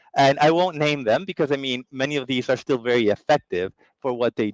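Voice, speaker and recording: With a Latin American accent, a man speaks at a moderate pace with fairly high pitch and ordinary pitch variation. The sound is dry and close, with no echo. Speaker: customer strategy lead and former journalist. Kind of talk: webinar presentation. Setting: online summit.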